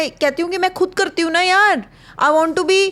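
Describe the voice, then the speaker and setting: A woman talks loudly at a moderate pace. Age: 40s. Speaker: podcast co-host. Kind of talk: casual chat.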